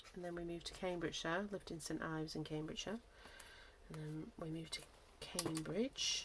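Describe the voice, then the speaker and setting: A woman's fairly low pitch with a Lancashire accent, at a fairly quick pace and fairly even intonation. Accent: northwest English, Lancashire. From northwest England, Lancashire. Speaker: craft YouTuber. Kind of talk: casual craft-along tutorial chat. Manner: casual, thinking aloud with hesitations.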